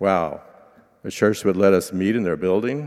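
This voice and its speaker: A man with an American accent and a normal speaking voice talks at a moderate pace, his fairly low pitch showing ordinary variation. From Oklahoma. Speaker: lay preacher. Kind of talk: sermon.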